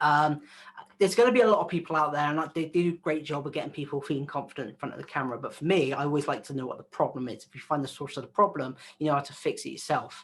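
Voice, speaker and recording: Over noticeable background noise, a man with a West Country accent talks very fast at a fairly high pitch, with ordinary pitch variation and big swings in loudness. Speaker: video content creator. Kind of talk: interview. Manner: casual, filler-heavy.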